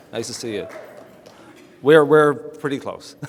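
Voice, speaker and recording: A man with a Newfoundland accent, amid noticeable background noise and audible room echo. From Newfoundland, Canada. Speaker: town mayor. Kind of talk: awards ceremony speech. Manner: fast.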